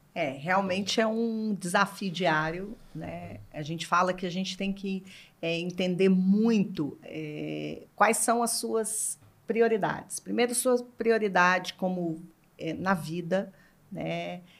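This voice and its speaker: Using ordinary pitch variation, this woman talks at a very slow pace. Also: medium pitch for a woman. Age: 40s. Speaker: brand executive. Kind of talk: casual chat.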